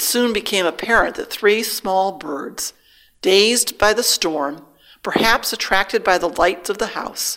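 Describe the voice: Plain reading aloud, where the pitch moves in an ordinary way.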